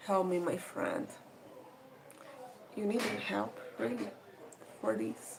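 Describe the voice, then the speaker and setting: A woman with a fairly low pitch speaks very slowly, her pitch swinging very widely. Noticeable background noise and audible room echo run through the clip. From Brazil. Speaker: live streamer. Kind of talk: casual live stream chat.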